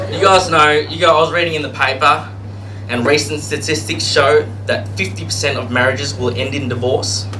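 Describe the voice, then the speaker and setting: With a strong Australian accent, a man talks at a fairly quick pace amid audible room echo and noticeable background noise. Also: medium pitch for a man, lively intonation. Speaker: stand-up comedian. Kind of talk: stand-up. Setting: stage with audience.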